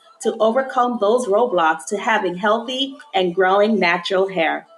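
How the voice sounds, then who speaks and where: A woman speaks at a fairly slow pace in a fairly high voice with lively intonation. There is noticeable background noise. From upstate New York (Albany), born in Jamaica. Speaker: natural hair consultant and podcast host. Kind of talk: podcast intro.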